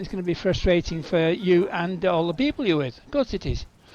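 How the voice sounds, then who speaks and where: Fairly quick speech with ordinary pitch variation comes through noticeable background noise. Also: man. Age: 60s. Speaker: gaming video creator. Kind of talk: gameplay commentary. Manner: halting.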